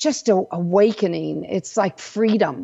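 Lively intonation from a woman in an American accent. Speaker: intuitive coach and radio host. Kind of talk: radio talk show monologue.

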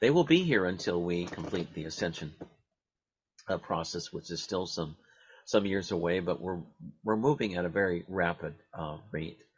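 Speaking at a moderate pace, a man with a very deep, low voice uses ordinary pitch variation and takes long, frequent pauses. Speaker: radio host. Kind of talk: radio show interview.

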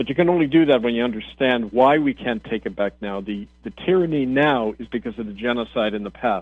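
Over music in the background, a man at a medium pitch speaks at a fairly quick pace with ordinary pitch variation and hardly any pauses. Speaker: radio host and minister. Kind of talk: radio talk monologue. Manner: impassioned.

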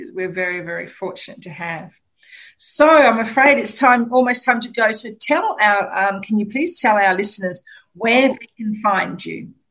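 A woman with an Australian accent, a fairly high pitch, lively intonation, big swings in loudness and a moderate pace. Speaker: radio host. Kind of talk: radio interview. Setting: studio.

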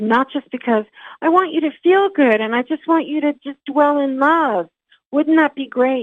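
A woman's put-on character voice, high-pitched and breathy, at a moderate pace. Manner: airy, dreamy, sugary.

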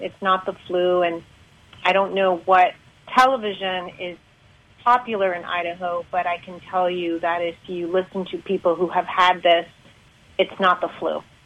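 A woman's medium-pitched voice, flat and monotone at a moderate pace, against noticeable background noise. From Canada. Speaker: caller. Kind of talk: call-in show chat. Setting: phone or video call.

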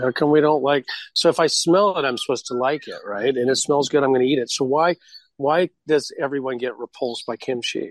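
A man with a fairly high pitch uses a normal speaking voice at a fairly quick pace, with ordinary pitch variation, in a very clean recording with a silent background. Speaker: radio show host. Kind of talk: casual interview.

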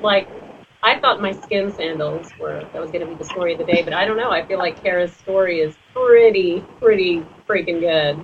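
Over noticeable background noise, a woman with an American accent talks at a moderate pace with a fairly low pitch, ordinary pitch variation and big swings in loudness. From Texas. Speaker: radio talk show host. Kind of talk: casual chat.

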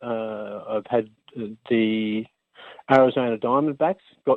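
A man with an Australian accent speaks at a moderate pace, his pitch varying in an ordinary way. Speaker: engineer and inventor, former basketball player. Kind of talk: radio interview.

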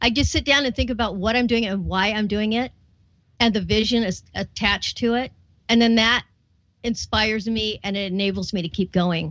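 A woman speaks in an ordinary speaking voice at a fairly high pitch. Her pace is fairly quick and her intonation fairly even. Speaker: radio host. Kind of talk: interview chat.

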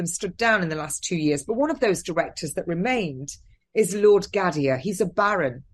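A woman speaks with a southern English accent. Her pitch swings very widely. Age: 50s. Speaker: nurse. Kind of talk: interview.

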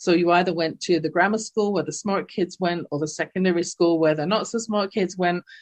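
Her fairly low voice dry and close with no echo, a woman speaks at a fairly quick pace with fairly even intonation. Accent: English. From England. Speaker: life coach. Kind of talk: interview testimony.

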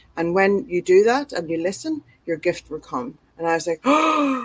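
A woman talks with lively intonation in an Irish accent. Her pace is moderate. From Ireland. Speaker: author and publisher. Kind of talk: interview.

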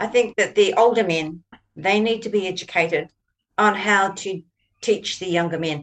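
A woman with a New Zealand accent speaks at medium pitch and a moderate pace, with ordinary pitch variation. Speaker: co-host, author and author mentor. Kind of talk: interview conversation.

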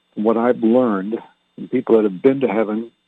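A man's medium-pitched, fairly quick delivery in an ordinary speaking voice. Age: 60s. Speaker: radio host and minister. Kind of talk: casual talk show monologue with prayer. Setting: home studio, broadcasting online radio. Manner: conversational, rambling.

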